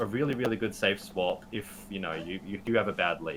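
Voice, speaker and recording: This man talks at a fairly quick pace. He has an Australian accent. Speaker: Pokemon GO writer and editor. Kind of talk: podcast interview.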